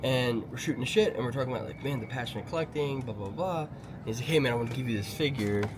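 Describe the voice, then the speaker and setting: Over noticeable background noise and audible room echo, a man of medium pitch talks at a very fast pace. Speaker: toy store owner. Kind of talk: casual chat.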